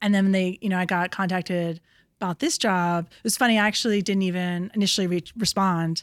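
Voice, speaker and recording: In a very clean recording with a silent background and a dry, close sound with no echo, a woman with an American accent uses a normal speaking voice at medium pitch, with fairly even intonation and a fairly quick pace. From New York City. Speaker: TV production company executive. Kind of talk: casual interview chat. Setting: her office.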